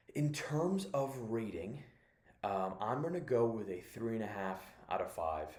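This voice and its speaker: Audible room echo surrounds a man with a medium pitch. He talks at a fairly slow pace with very wide pitch swings. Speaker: movie reviewer. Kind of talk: casual review monologue. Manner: whispering; halting, many fillers.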